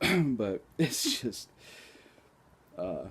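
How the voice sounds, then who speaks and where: A man's somewhat breathy voice at a very slow pace. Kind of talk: casual vlog talk to camera. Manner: slow, with long pauses; hesitant, many filler words.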